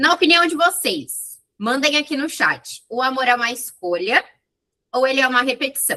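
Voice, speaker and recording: At a moderate pace, the voice comes across bright and sharp, raised and projected, with lively intonation. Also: woman, high pitch for a woman. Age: 20s. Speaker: psychologist. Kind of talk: online talk to audience, lecture. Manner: informal, chatty.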